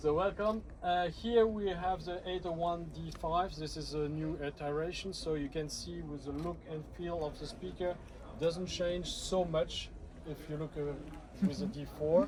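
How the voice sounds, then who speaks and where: Over noticeable background noise, a man talks at a fairly slow pace. He speaks with a French accent. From France. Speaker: audio product presenter. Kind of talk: product demonstration. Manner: halting.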